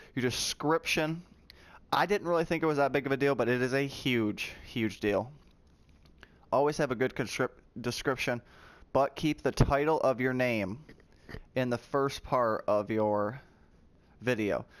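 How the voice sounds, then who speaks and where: A man's medium-pitched voice at a moderate pace, with long, frequent pauses, ordinary pitch variation and very even loudness, on a very clean recording with a silent background. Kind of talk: tutorial. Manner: casual, with fillers.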